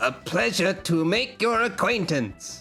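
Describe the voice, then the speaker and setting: A robotic, put-on character voice delivers the lines at a fairly slow pace. Clear music plays in the background. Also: man. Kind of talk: polite, formal. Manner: courteous.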